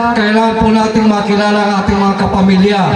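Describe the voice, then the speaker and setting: Noticeable background noise and audible room echo surround this recording. A man talks at a fairly quick pace. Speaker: family reunion emcee. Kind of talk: event emceeing. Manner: loud.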